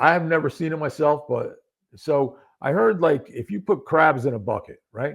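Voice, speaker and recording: This man has a fairly high pitch and lively intonation, and he speaks at a fairly slow pace. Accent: American. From upstate New York. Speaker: former police detective and accident survivor. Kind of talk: podcast interview.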